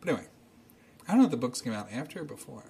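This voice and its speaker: Somewhat breathy, a man's voice moves through very wide pitch swings. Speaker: podcast host. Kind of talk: casual chat, storytelling. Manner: rambling, halting with filler words.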